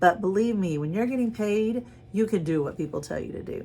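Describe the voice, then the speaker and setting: A woman's ordinary speaking voice at a medium pitch, fairly quick in pace, with lively intonation. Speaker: drama teacher. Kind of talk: lecture.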